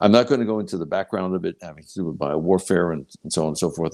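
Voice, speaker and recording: In a very clean recording with a silent background, a man speaks with a very deep, low pitch, a dark, mellow tone, vocal fry, and lively intonation. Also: dry, close sound with no echo. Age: 70s. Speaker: pathologist and product developer. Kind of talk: interview conversation.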